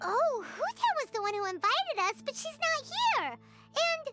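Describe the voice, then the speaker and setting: A woman puts on a squeaky character voice at an extremely high pitch, talking at a moderate pace over music in the background. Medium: video game. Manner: lively.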